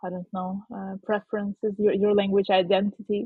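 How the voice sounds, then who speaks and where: The speech comes in a Russian accent at a moderate pace. Its intonation is flat and monotone. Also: woman. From southern Ukraine. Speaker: podcast co-host. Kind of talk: casual chat. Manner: hesitant, many fillers.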